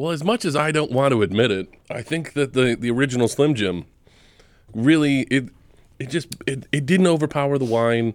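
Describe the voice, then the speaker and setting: A man uses a normal speaking voice at medium pitch, with ordinary pitch variation and a moderate pace. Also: very clean recording, silent background. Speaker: guest wine enthusiast. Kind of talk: comedic tasting banter. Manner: rambling, repeats words.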